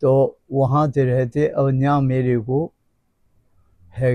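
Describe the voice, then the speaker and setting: A man's voice at medium pitch, dark and mellow in tone, with monotone, flat intonation. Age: 80s+. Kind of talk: interview answer.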